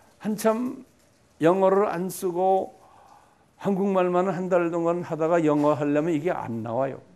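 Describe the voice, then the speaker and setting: A man's high-pitched voice at a fairly slow pace, with ordinary pitch variation and audible room echo. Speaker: pastor. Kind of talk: lecture. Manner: conversational, repetitive fillers.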